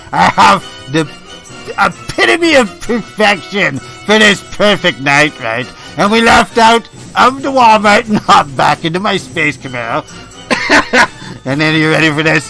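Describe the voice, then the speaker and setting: A man in a high-pitched, put-on character voice speaks at a moderate pace over clear music in the background. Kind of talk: improv comedy radio monologue. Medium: role play. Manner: boastful, excitable.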